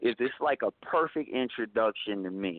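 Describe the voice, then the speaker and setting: A man talks in a normal speaking voice with an American accent. His pitch sits in the medium range, with ordinary pitch variation. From US Midwest, Kansas. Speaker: rapper. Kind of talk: interview.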